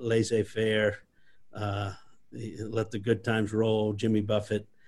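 A man in a South Louisiana accent. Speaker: restaurant company CEO. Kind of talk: interview. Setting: video call.

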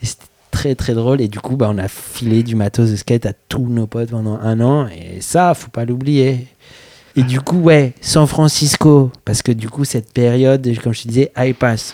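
Recorded dry and close with no echo, a man talks at a moderate pace in a medium pitch with a dark, mellow tone. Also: ordinary pitch variation. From Paris, France. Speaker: skateboarder. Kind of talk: casual chat.

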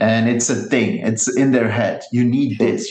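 A man speaks at a moderate pace and medium pitch, with audible room echo around him. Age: 30s. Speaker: skate company founder. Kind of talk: interview. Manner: hesitant, many fillers and repetitions.

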